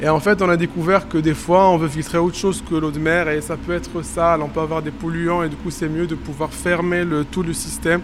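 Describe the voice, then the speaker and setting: Over noticeable background noise, the voice speaks at a moderate pace with monotone, flat intonation. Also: man. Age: 30s. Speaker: postdoctoral researcher. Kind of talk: on-site reportage explanation. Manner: hesitant, many fillers.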